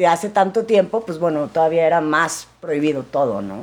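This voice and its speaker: A woman with a normal speaking voice. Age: 40s. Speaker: actress and businesswoman. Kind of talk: casual interview testimony.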